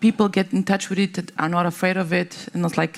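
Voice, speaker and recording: Her voice at a medium pitch with vocal fry, a woman speaks with a non-native accent. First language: not English. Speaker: tech company policy lead on panel. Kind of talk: panel discussion. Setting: conference stage with audience. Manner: halting, many fillers.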